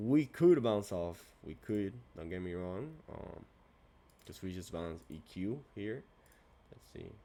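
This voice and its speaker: A man speaks at a moderate pace in a very deep, low pitch. His tone is dark and mellow. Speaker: trader streaming backtesting. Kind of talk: casual trading tutorial. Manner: halting; soft-spoken. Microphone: good mic.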